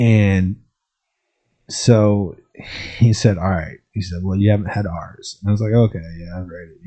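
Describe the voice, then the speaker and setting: Against a quiet background, a man with an American accent speaks at a moderate pace, his voice fairly low in pitch, somewhat breathy, and dark and mellow in tone. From Champaign-Urbana area, Illinois. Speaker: podcast host and entrepreneur. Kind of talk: casual monologue. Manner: casual, many filler words.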